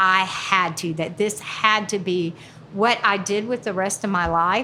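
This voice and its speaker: A bright, sharp-toned woman with a Southern US accent and ordinary pitch variation. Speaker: stand-up comedian, retired teacher. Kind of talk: interview answer.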